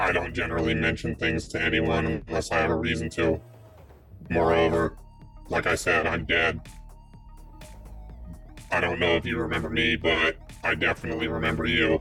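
A man's robotic put-on character voice, very deep and low, at a moderate pace over clear music in the background.

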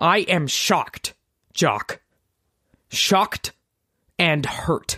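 In a raspy put-on character voice of middle pitch, the speaker talks at a very slow pace with long, frequent pauses. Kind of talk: theatrical, affected. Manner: shocked and hurt, exaggerated.

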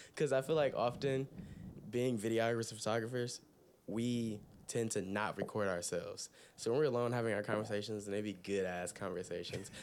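With an American accent, a man in an ordinary speaking voice talks at a fairly quick pace, medium pitch, and fairly even intonation. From Toledo, Ohio. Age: 20s. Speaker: freelance photographer. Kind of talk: casual chat. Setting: home recording.

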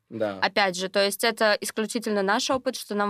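A woman speaks at a moderate pace in a medium pitch, with an unremarkable speaking voice. The sound is dry and close, with no echo. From Russia, Sverdlovsk Oblast. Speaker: geography tutor, student. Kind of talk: casual chat.

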